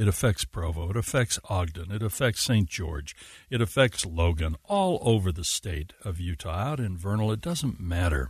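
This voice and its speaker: Very deep and low in pitch, a man talks at a moderate pace with hardly any pauses, somewhat breathy and with lively intonation, over a quiet background. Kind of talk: live radio host patter, thanking a guest and teasing the next segment before a break.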